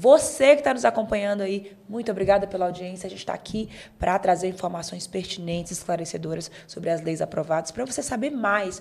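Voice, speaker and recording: Using an ordinary speaking voice, a woman talks at a fairly quick pace and medium pitch with ordinary pitch variation. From Bahia, Brazil. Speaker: podcast host. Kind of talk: show sign-off; talk show interview.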